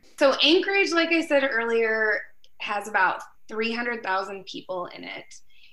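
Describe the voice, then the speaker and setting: Audible room echo surrounds a woman with a fairly high pitch. She speaks at a fairly slow pace with very wide pitch swings. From Alaska. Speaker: anthropology professor. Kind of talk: interview.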